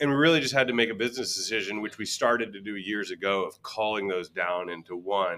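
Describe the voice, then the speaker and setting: A man with a fairly low pitch and ordinary pitch variation has an ordinary speaking voice. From US East Coast, Virginia. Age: 40s. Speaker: whiskey brand ambassador. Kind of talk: casual chat. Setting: bar venue with co-hosts.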